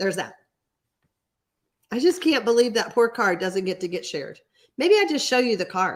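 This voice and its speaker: A woman with an American accent speaks at a moderate pace and fairly high pitch, with long, frequent pauses and very wide pitch swings. The recording is very clean, with a silent background. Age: 60s. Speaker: card-making instructor. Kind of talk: live stream tutorial with chat reading. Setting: home studio, live stream. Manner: casual, chatty.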